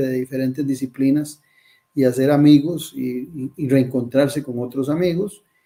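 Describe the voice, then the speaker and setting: A man talks at a moderate pace with a medium pitch and a dark, mellow tone. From Costa Rica. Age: 60s. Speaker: presidential candidate. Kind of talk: interview.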